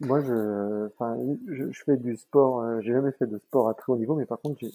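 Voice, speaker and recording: Dark, mellow male voice, its intonation fairly even. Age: 30s. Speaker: sales professional. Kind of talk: interview. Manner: hesitant, many fillers.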